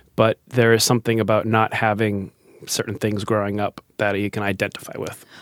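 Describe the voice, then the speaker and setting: Here a man talks in an American accent at a fairly quick pace and fairly low pitch. His intonation is monotone and flat, and the sound is dry and close with no echo. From Massachusetts, Foxborough. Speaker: beatboxer and improv performer. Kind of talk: casual interview.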